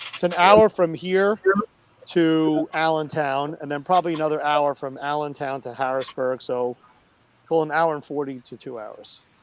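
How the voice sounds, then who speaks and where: A man with a fairly high pitch talks at a moderate pace, his pitch varying in an ordinary way. His loudness swings widely, and background noise is noticeable. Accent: Brooklyn. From New York (Brooklyn). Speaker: cooking live streamer. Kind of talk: casual chat.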